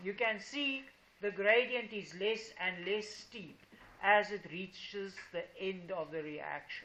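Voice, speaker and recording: Recorded with audible room echo, a woman talks at a very slow pace in a medium pitch. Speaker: high school teacher. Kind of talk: classroom lesson. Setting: classroom with students. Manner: slow, deliberate.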